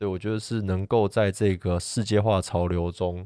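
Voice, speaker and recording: A man speaks at a moderate pace in a very deep, low voice with fairly even intonation, on a very clean recording with a silent background. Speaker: mountain photographer. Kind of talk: casual interview.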